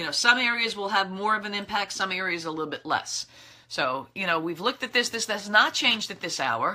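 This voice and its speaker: A woman with an American accent speaks at a medium pitch. Her pace is fairly quick and her intonation lively. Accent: thick New York accent when tired. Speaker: meteorologist. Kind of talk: weather briefing. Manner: casual, conversational.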